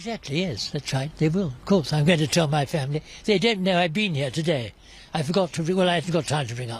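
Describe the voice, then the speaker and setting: A man with a British accent, very fast and lively in intonation. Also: fairly high pitch for a man. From Britain. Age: 80s+. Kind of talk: interview answer. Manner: blunt, wry.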